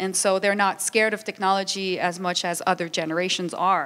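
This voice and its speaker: A woman with a Quebec accent speaks at a moderate pace and medium pitch. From Quebec, Montreal. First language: French. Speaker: international organization official, panelist. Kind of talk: conference panel talk.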